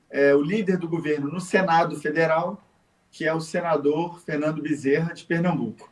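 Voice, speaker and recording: Fairly high-pitched male speech in a Rio de Janeiro accent, moderate in pace, with fairly even intonation and big swings in loudness. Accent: Rio de Janeiro (carioca). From Rio de Janeiro, Brazil. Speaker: federal politician, ex-army officer. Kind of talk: interview.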